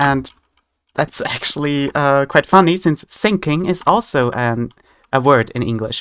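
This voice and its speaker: At a fairly slow pace, the speaker talks with an Austrian accent in a very clean recording with a silent background. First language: German. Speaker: vtuber streamer. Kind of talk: gaming livestream chat. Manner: halting.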